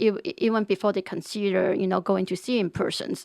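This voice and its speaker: At a moderate pace and medium pitch, a woman with a Chinese accent talks with ordinary pitch variation on a very clean recording with a silent background. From China. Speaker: real estate agent. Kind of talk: interview. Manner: halting, many repeated words.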